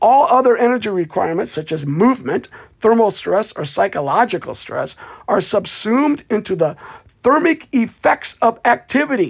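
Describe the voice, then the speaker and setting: Her voice sits fairly high with vocal fry and very wide pitch swings as this woman talks at a moderate pace. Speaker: solo podcast host. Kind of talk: educational monologue. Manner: coughing, clearing throat.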